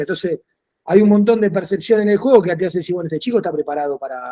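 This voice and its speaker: A man speaks very fast in a high voice with a dark, mellow tone. His pitch varies in an ordinary way. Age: 40s. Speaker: football coach. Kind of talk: interview.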